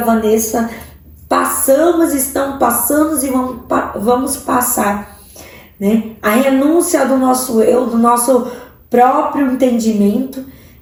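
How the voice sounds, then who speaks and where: Speech moves at a fairly slow pace. The recording carries noticeable background noise and audible room echo. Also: woman. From Central-West Brazil, Várzea Grande/Cuiabá. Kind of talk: sermon-style online teaching.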